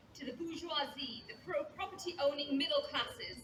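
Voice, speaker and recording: A woman speaks in an extremely high pitch with a bright, sharp tone and a raised, projected voice. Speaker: trade union leader. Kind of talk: speech at rally.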